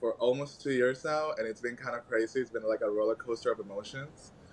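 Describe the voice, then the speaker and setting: A man with a Venezuelan accent at a moderate pace. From Venezuela, Caracas. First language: Spanish. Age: 20s. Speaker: podcast guest, activist. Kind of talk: casual interview chat.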